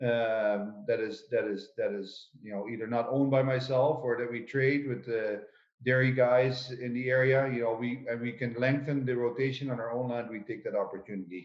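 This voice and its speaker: A man with a Dutch accent talks at a moderate pace with hardly any pauses. His medium pitch follows fairly even intonation. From Netherlands. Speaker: potato farmer. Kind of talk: conference panel talk. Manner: halting, many fillers.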